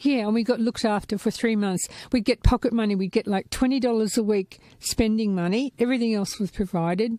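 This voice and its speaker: A woman speaks at a fairly quick pace with a fairly high pitch, a dark, mellow tone and fairly even intonation. The recording is very clean with a silent background and a dry, close sound with no echo. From Gold Coast, Australia. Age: 60s. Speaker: podcast guest, former clown. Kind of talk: casual chat.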